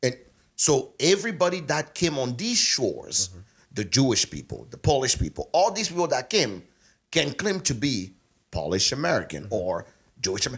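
Long, frequent pauses break up speech full of vocal fry, very wide pitch swings and big swings in loudness, on a very clean recording with a silent background. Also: man, fairly high pitch for a man, fairly quick pace. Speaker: podcast co-host. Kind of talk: casual chat.

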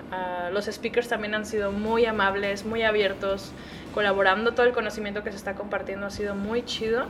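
A woman at medium pitch speaks at a fairly quick pace with monotone, flat intonation, amid audible room echo and noticeable background noise. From Guadalajara, Mexico. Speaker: recruiter and event organizer. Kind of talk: interview. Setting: at a conference.

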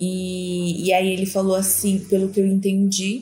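Somewhat breathy, with a dark, mellow tone, the voice moves at a fairly slow pace amid audible room echo. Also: woman. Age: 20s. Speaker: marketing professional, host's sister. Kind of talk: casual interview.

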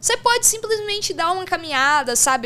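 A woman talks with very wide pitch swings. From Brazil, São Paulo state interior. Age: 20s. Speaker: sports betting professional. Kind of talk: casual interview.

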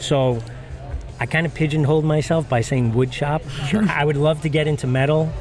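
Amid noticeable background noise, a man with an American accent speaks at a fairly quick pace with fairly even intonation. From Long Island, New York. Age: 50s. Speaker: firefighter and woodworker. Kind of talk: casual interview chat. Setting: recorded at maker camp event.

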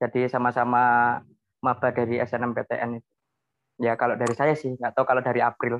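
A man at a medium pitch speaks at a fairly quick pace in a monotone, flat way, broken by long, frequent pauses. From Central Java, Semarang Regency. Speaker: university student. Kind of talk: casual interview.

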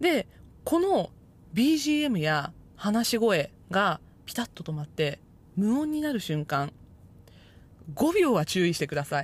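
A somewhat breathy woman at a fairly slow pace, with very wide pitch swings and long, frequent pauses. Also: medium pitch for a woman. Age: 30s. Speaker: podcast host. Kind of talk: solo podcast talk.

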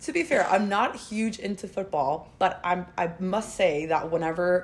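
Speaking with a plain, everyday voice at medium pitch, a woman uses lively intonation at a fairly slow pace with hardly any pauses. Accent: American. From Spain. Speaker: guest. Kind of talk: casual chat.

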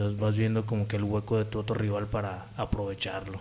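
Audible room echo surrounds a man speaking in a fairly low pitch with monotone, flat intonation. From Puerto Vallarta, Jalisco, Mexico. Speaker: professional MMA fighter. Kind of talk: casual chat.

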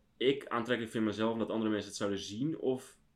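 A man speaks in a normal speaking voice. His pitch sits in the medium range, and his intonation stays fairly even. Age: 20s. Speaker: podcast co-host. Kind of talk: casual chat. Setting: empty room at home.

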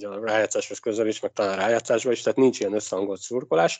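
A man with a medium-pitched voice is recorded with a dry, close sound with no echo against a quiet background. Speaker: ice hockey podcast co-host. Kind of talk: casual sports chat.

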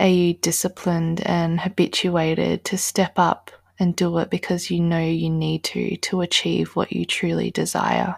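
With hardly any pauses, a woman speaks in a calm, soothing tone, the sound dry and close with no echo. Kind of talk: guided meditation. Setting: solo recording addressing listener. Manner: slow, calm, soothing, with long pauses; gentle, instructive, with a motivational tone.

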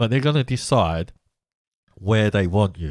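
Lively intonation marks this man's speech, delivered in an English accent. The recording is very clean with a silent background, and the sound is dry and close with no echo. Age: 50s. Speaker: podcast host. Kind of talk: monologue commentary.

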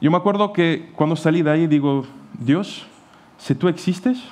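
The speaker is a man with a non-native accent. His pitch is fairly high. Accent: foreign accent in Spanish. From Portugal. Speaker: pastor. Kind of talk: sermon. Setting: church.

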